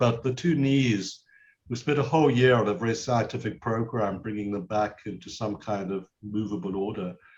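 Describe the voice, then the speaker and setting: A man's somewhat breathy voice at medium pitch, with ordinary pitch variation and a moderate pace. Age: 70s. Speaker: karate master. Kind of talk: interview.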